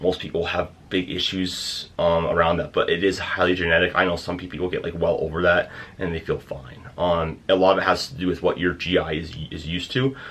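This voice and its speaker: Very deep and low, the man's voice sits at the bottom of the range. He moves along at a fairly quick pace. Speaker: fitness coach. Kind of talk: tutorial. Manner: fast; hesitant with many fillers.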